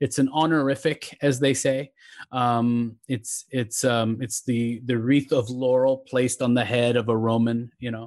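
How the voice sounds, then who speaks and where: Over a silent background in a very clean recording, a man speaks fairly slowly at a medium pitch. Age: 40s. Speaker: poet. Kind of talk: casual chat. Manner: animated.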